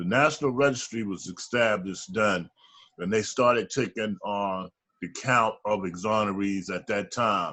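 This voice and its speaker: With ordinary pitch variation, the delivery stays at a fairly slow pace. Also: man. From Baltimore, Maryland. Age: 60s. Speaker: exonerated former prisoner. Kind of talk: interview testimony.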